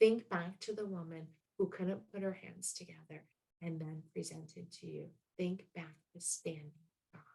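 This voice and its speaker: Somewhat breathy and fairly low in pitch, a woman speaks at a moderate pace with ordinary pitch variation. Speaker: motivational speaker and business coach. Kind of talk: motivational talk.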